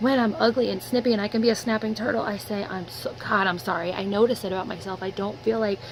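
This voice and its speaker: Amid noticeable background noise, a woman talks fairly quickly at a medium pitch with ordinary pitch variation. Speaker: vlogger. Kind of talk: personal video diary. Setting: in her room. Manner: animated.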